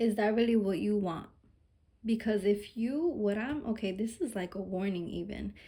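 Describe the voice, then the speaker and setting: A woman's voice is dark and mellow, somewhat breathy, and medium in pitch. She talks at a moderate pace with ordinary pitch variation. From Mexican heritage. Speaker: tarot reader. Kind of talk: collective tarot reading. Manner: casual, informal with cursing; animated, emphatic.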